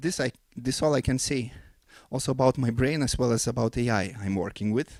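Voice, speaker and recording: A man with a non-native accent speaks at a fairly quick pace, medium in pitch, with ordinary pitch variation. The recording is very clean, dry and close, with a silent background and no echo. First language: not English. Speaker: composer and forum speaker. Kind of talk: conference talk. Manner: halting, many fillers.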